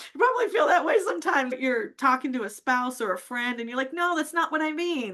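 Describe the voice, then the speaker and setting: A woman speaks at a very fast pace with hardly any pauses, in a high, raised, projected voice. Her tone is bright, sharp and animated, with very wide pitch swings. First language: not English. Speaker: public speaking coach. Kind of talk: casual interview chat. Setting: live stream.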